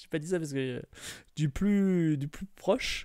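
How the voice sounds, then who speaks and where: A man speaks at a very slow pace with lively intonation. The background is quiet and the sound is dry with no echo. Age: 40s. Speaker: streamer. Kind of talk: casual chat. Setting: live stream. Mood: cheerful, birthday stream. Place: home room. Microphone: studio mic.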